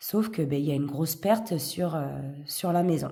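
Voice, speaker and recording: Somewhat breathy and dark, mellow in tone, a woman talks at a fairly slow pace with lively intonation, and audible room echo surrounds her. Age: 40s. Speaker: vlogger, single parent. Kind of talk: casual chat, budgeting tutorial. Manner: hesitant, many fillers.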